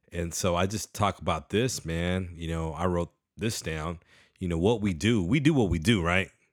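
Moderate pace and ordinary pitch variation from a man, in a very clean recording with a silent background. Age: 40s. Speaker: podcast host. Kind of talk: casual chat. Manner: animated.

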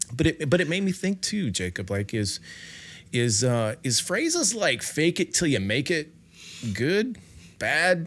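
In a very clean recording with a silent background, a man with vocal fry speaks at a fairly slow pace with long, frequent pauses, his fairly high pitch making very wide swings. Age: 50s. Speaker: podcast host. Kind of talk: interview conversation.

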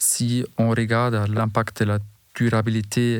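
On a very clean recording with a silent background, a man with a German accent speaks at a medium pitch in a monotone, flat intonation. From Bavaria, Germany. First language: German (speaking French). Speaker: building materials executive. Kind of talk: interview. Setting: studio.

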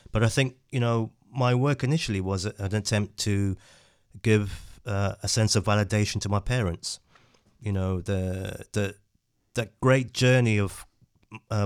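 A man speaks with a West Midlands accent at a fairly low pitch. His intonation is fairly even, his pace fairly slow, and the recording very clean with a silent background. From England, West Midlands (Dudley). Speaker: photographer and educator. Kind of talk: interview. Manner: halting.

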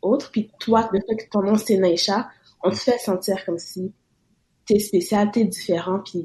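A woman with a dark, mellow, somewhat breathy tone speaks at a moderate pace in a monotone, flat intonation. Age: 20s. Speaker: student. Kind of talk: casual chat.

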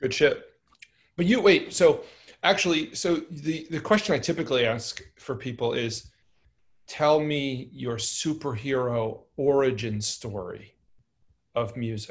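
A man with an American accent speaks in a fairly high, somewhat breathy voice with lively intonation. He talks at a fairly slow pace with long, frequent pauses, on a very clean recording with a silent background. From New York (Brooklyn). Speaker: podcast host, musician. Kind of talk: casual chat.

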